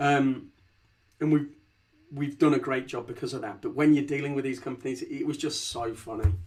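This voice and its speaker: Vocal fry in a Leicester accent at a fairly quick pace. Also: man, fairly high pitch for a man, ordinary pitch variation. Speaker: company founder and CEO. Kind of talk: podcast interview. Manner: repeats words, stammering starts.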